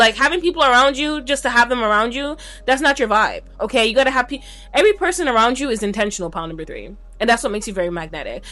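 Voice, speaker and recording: Speaking very fast at a high pitch, a woman lets her voice swing very widely. Noticeable background noise runs underneath. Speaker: tarot reader. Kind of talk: pick a card tarot reading. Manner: casual, conversational with filler words; stumbling over words.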